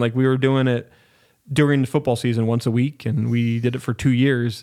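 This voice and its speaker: On a very clean recording with a silent background, a man of medium pitch talks with an American accent. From US Northwest, Spokane, Washington. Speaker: podcast studio owner and producer. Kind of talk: casual interview chat. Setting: podcast studio.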